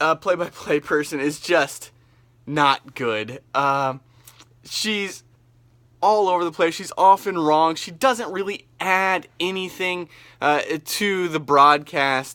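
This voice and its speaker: A bright, sharp tone at a very slow pace in a very clean recording with a silent background. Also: man, high pitch for a man, ordinary pitch variation. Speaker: radio play-by-play announcer. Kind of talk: casual vlog talk. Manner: hesitant, many fillers.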